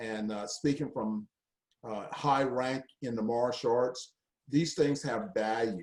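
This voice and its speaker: A man with a medium pitch and ordinary pitch variation speaks at a very slow pace. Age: 60s. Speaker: martial arts grandmaster and foundation head. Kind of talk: live video update. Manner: halting.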